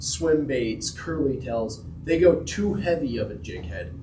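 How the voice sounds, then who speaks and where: Quiet, with audible room echo and noticeable background noise, a man with an American accent and a fairly high pitch speaks at a fairly slow pace. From Utah, Uintah Basin. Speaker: angler giving a fishing talk. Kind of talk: presentation to a club audience.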